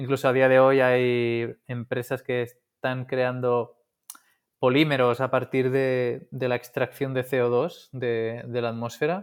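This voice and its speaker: A man's medium-pitched, flat monotone at a very slow pace. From Catalonia, Spain (coast north of Barcelona). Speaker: engineer and founder of a reusable packaging company. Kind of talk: interview. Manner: halting, with frequent repetitions.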